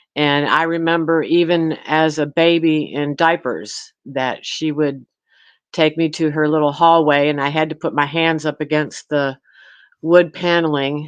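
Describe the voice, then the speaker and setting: With an American accent, a woman speaks in a very deep, low voice with monotone, flat intonation. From Michigan. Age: 60s. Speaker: domestic violence survivor. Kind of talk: testimony. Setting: live stream panel. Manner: halting.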